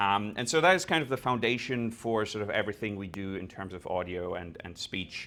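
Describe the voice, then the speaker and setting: A man's fairly low voice at a fairly quick pace, in a very clean recording with a silent background. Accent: German. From Germany. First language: German. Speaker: developer experience engineer. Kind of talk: conference talk with live demo.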